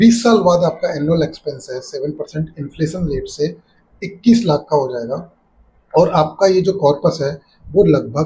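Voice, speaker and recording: Big swings in loudness run through a man's fairly high-pitched voice, dark and mellow in tone, with ordinary pitch variation. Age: 60s. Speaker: personal finance YouTuber. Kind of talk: explainer tutorial.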